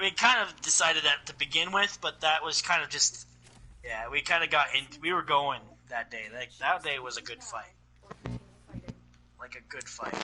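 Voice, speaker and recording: Amid noticeable background noise, a man speaks at a moderate pace with lively intonation, big swings in loudness and long, frequent pauses. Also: fairly high pitch for a man. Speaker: gaming podcast co-host. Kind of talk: casual chat.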